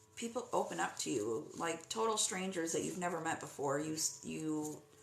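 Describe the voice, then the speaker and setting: A woman's fairly low voice at a moderate pace, with audible room echo and noticeable background noise. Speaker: psychic medium. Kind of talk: live-stream medium reading. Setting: live stream.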